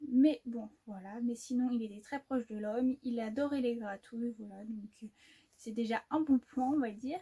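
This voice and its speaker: The sound is close and dry, without any echo. A woman talks, her pitch varying in an ordinary way. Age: 20s. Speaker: horse owner and rider. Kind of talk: casual talk to camera.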